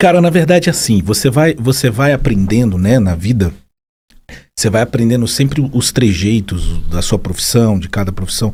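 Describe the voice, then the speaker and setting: A man speaks at a moderate pace and medium pitch, his dark, mellow tone somewhat breathy. Very wide pitch swings mark his delivery, while his loudness stays very even. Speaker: psychologist. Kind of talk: casual chat.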